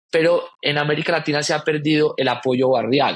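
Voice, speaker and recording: A man speaks with a Colombian accent and fairly even intonation. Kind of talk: podcast interview.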